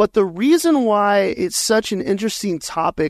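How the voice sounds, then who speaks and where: The voice is a man's with an American accent and ordinary pitch variation. The sound is dry and close with no echo, over a quiet background. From Colorado, US. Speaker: pastor and trauma-informed coach. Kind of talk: interview conversation.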